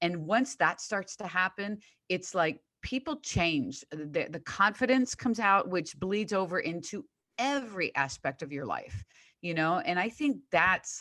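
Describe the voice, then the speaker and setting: A woman talks at a fairly slow pace with a bright, sharp tone and a medium pitch. Her pitch swings very widely, and the recording is very clean with a silent background. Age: 60s. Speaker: fitness coach. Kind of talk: casual chat.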